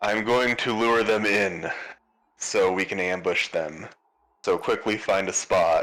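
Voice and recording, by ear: Putting on a character voice, a man speaks fairly slowly in a raspy, medium-pitched tone at a very even loudness.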